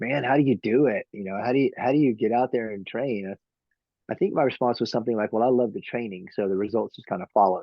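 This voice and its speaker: In a Texan accent, a man talks at a very fast pace and a medium pitch. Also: ordinary pitch variation. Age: 50s. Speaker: trail runner. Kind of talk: interview. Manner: halting.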